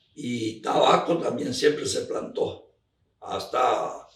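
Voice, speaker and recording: A man at a very slow pace, with audible room echo. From Argentina, Misiones. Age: 80s+. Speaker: elderly farmer recounting local history. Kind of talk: oral history interview. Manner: halting, with repetitions.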